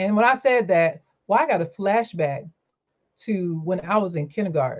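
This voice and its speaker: Here is a woman with a plain, everyday voice and a medium pitch. She speaks at a moderate pace with lively intonation. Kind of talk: casual chat.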